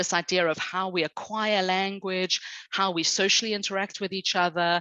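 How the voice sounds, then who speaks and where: Against a quiet background, a woman with a fairly low voice and a bright, sharp tone is heard in a dry, close sound with no echo. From South Africa, British parents. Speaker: speech and language specialist teacher. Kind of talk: podcast interview.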